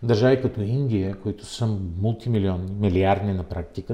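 A man speaks at a moderate pace in a fairly low, somewhat breathy voice with a dark, mellow tone and fairly even intonation. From Bulgaria, Plovdiv. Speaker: member of parliament and book publisher. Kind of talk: interview.

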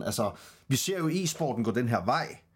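This man talks at a moderate pace and a medium pitch. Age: 30s. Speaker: podcast host. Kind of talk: casual chat. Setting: online call, livestream. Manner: halting, many fillers.

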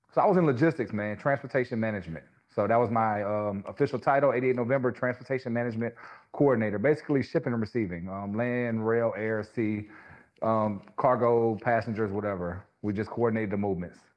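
Very fast and at medium pitch, a man talks with a Louisiana accent and ordinary pitch variation. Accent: Southern US (Louisiana). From Louisiana, small rural town. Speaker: barber and scalp micropigmentation artist. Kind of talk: casual interview.

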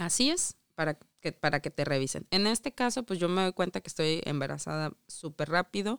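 A woman with a plain, everyday voice speaks at a moderate pace and fairly low pitch with lively intonation, in a very clean recording with a silent background and a dry, close sound with no echo. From Mexico. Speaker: immigrant mother. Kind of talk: casual interview.

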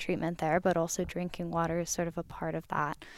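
A woman on a very clean recording with a silent background. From desert region. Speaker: PhD student. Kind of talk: interview. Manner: hesitant, many fillers.

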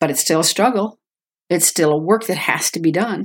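An ordinary speaking voice from a woman with an American accent, fairly low in pitch, with ordinary pitch variation at a moderate pace. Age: 60s. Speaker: guest sharing faith testimony. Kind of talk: testimony.

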